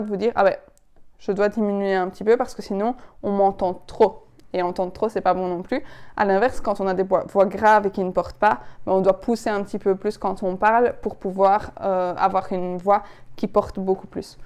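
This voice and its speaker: Fairly even in intonation, a woman at medium pitch speaks at a moderate pace. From Belgian Ardennes. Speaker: public speaking coach. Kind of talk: tutorial. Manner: expressive, varied intonation.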